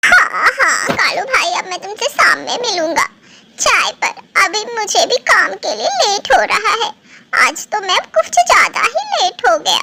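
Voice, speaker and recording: A woman's cartoonish character voice, extremely high in pitch, at a moderate pace. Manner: warm, earnest.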